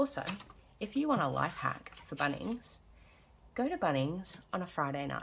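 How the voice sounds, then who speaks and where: Soft-spoken, a woman with an Australian accent talks at a moderate pace with long, frequent pauses. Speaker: budgeting vlogger. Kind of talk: casual vlog chat. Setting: at home. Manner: soft-spoken, quiet.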